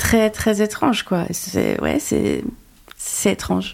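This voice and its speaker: A woman with a medium pitch and an unremarkable speaking voice, at a fairly slow pace. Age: 40s. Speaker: talent agent. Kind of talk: interview.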